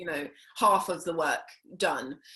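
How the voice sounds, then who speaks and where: A woman speaks with a London accent at a fairly slow pace. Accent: British (London). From South London, England. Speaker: actress. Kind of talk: interview. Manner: hesitant, many fillers.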